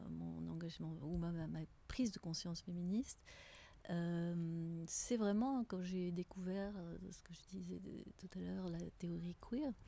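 A woman speaks at a very slow pace. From Tunisia. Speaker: teacher. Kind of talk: interview. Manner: halting.

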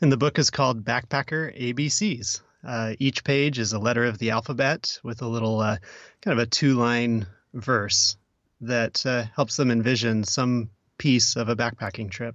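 An unremarkable speaking voice, a man with an American accent at a moderate pace and fairly even intonation. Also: medium pitch for a man. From Oregon. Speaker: podcast producer. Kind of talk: casual chat.

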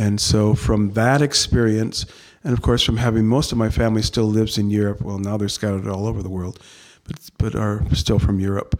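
With a plain, everyday voice, a man speaks at a moderate pace in a fairly low pitch, his intonation fairly even. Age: 60s. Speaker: Lutheran pastor. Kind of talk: interview conversation.

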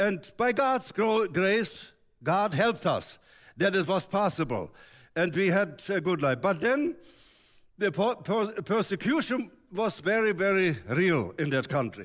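Speaking at a fairly slow pace, a man with a high voice uses lively intonation and keeps his loudness very even. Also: very clean recording, silent background. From Germany. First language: German. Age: 80s. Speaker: visiting preacher. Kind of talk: sermon. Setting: church. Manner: halting.

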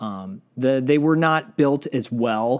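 A plain, everyday voice from a man with an American accent, medium in pitch, on a very clean recording with a silent background. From Michigan, US (Detroit). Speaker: podcast host, guest. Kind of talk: casual chat.

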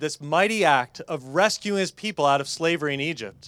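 A man talks in a fairly high pitch with ordinary pitch variation, in an unremarkable speaking voice. The recording is very clean, with a silent background. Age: 40s. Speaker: pastor. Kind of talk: sermon. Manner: casual, conversational.

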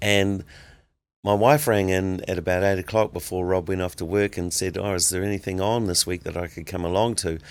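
A man's very deep, low voice with an American accent, fairly quick pace and fairly even intonation, in a very clean recording with a silent background. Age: 70s. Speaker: minister and music producer. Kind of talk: casual podcast interview.

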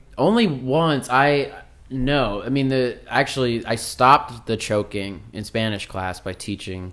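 A man's normal speaking voice at a medium pitch with an American accent, fairly slow pace and lively intonation over a quiet background. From Minnesota, Saint Paul. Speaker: comedian and TV writer. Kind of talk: casual chat.

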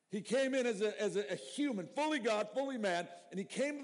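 A man's lively intonation amid audible room echo. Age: 50s. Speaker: pastor. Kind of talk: sermon. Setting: church. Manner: halting.

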